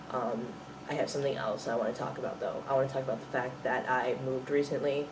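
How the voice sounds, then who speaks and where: Amid noticeable background noise and audible room echo, a man with an American accent talks very fast in a monotone, flat delivery. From US Midwest. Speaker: vlogger. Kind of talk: video diary. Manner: hesitant, many fillers.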